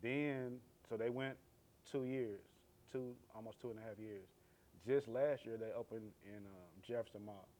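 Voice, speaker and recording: A man speaks at a moderate pace and a medium pitch with a dark, mellow tone. His intonation is fairly even, his loudness swings widely, and he leaves long, frequent pauses. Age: 40s. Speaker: sneaker store owner. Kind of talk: casual interview.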